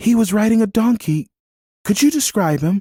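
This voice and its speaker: A man's put-on character voice, high-pitched, with lively intonation. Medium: read story.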